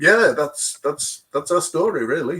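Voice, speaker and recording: The speaker has a British accent. Pitch variation is ordinary. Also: man. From UK. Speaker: expedition vehicle owner. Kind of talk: testimony. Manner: repeats words often, halting.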